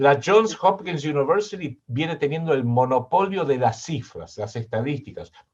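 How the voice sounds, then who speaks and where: In a Rioplatense accent, a man speaks at a moderate pace with hardly any pauses. His voice is somewhat breathy, fairly high in pitch, with lively intonation. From Argentina. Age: 60s. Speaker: political analyst and writer. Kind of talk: interview.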